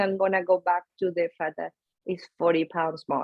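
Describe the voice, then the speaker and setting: A woman talks at a fairly quick clip. She has a strong Venezuelan accent. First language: Spanish. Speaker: nutrition coach and powerlifter. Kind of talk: podcast interview.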